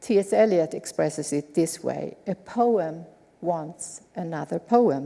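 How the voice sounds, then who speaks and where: A woman with a Swedish accent has a fairly low pitch, a dark, mellow tone, vocal fry and lively intonation. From Sweden. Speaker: lecturer. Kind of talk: lecture.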